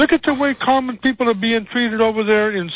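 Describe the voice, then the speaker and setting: His tone is angry. The man has an American accent. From Salinas, California. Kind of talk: angry call-in rant. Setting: phone call. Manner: angry, emphatic.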